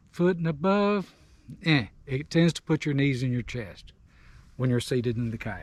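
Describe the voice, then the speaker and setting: The intonation is lively, and the sound is dry and close with no echo on a very clean recording with a silent background. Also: man. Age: 60s. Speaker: kayak angler. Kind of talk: casual chat.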